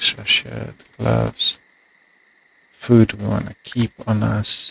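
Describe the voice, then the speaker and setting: A quiet man, very slow, in a dry, close sound with no echo. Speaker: gaming video creator. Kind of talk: let's play commentary.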